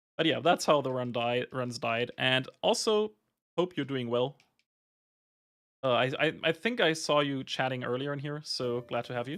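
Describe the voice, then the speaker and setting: A man speaks at a moderate pace with a German accent and ordinary pitch variation. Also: medium pitch for a man. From Germany. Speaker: video game streamer. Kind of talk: live gameplay stream chat. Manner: casual, with many fillers and restarts.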